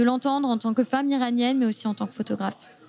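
Against noticeable background noise, a woman speaks in a fairly high voice with fairly even intonation. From southern France, Mediterranean coast. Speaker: NGO communications officer. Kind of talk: interview conversation. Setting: café. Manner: halting, with fillers.

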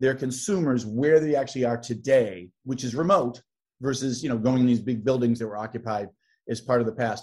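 A man's medium-pitched voice, dark and mellow in tone, at a fairly quick pace against a quiet background. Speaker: tech sales executive. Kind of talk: interview. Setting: video call.

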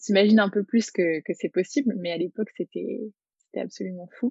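Here is a woman with an ordinary speaking voice at a medium pitch. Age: 20s. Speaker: therapist. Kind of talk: interview.

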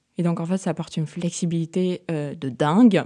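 A plain, everyday voice with fairly even intonation is heard against a quiet background. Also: woman. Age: 30s. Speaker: entrepreneur. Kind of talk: interview.

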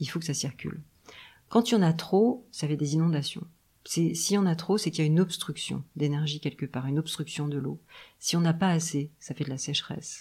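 A woman's very deep, low, somewhat breathy voice with a dark, mellow tone, ordinary pitch variation and a fairly quick pace, on a very clean recording with a silent background. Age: 50s. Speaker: acupuncturist, traditional Chinese medicine therapist. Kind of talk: interview, casual conversation. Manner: hesitant, many fillers.

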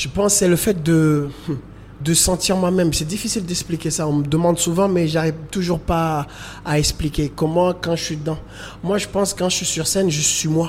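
A man speaks at a high pitch and a moderate pace. His intonation is fairly even. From Comoros (Grande Comore, Moroni). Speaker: choreographer and dancer. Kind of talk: interview testimony. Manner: halting.

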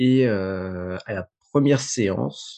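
A man's dark, mellow voice is heard against a quiet background. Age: 30s. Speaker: project assistant at an architecture firm. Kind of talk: interview testimony. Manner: halting, many hesitations.

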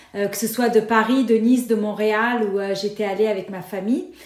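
A woman at a moderate pace. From Lebanon (Beirut). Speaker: nonprofit founder and board director. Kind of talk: interview.

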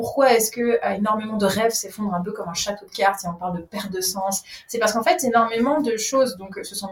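A woman talks at a very fast pace with hardly any pauses, her medium-pitched voice showing ordinary pitch variation and big swings in loudness over noticeable background noise. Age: 30s. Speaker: breathing coach. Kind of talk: casual chat. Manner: animated.

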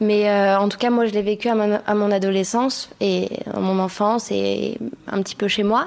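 Over noticeable background noise, a woman speaks at a medium pitch and moderate pace with monotone, flat intonation and very even loudness. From Kosovo. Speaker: podcast guest, Kosovar woman. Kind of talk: public panel discussion. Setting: live event with audience.

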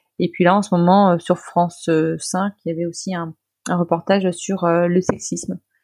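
A woman speaks in a monotone, flat intonation at a fairly low pitch. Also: dry, close sound with no echo. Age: 30s. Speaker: nonprofit director. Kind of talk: interview. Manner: hesitant, many fillers.

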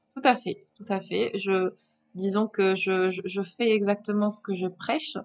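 Her pace is fairly slow and her pitch medium. The woman keeps her intonation fairly even. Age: 30s. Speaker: entrepreneur and business mentor. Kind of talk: interview. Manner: halting, frequent repetitions.

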